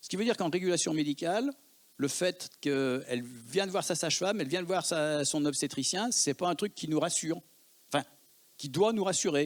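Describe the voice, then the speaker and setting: A man speaks with a Lyon accent at a high pitch. His pace is moderate and his pitch varies in an ordinary way. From Lyon, France. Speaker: emergency physician. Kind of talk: conference talk.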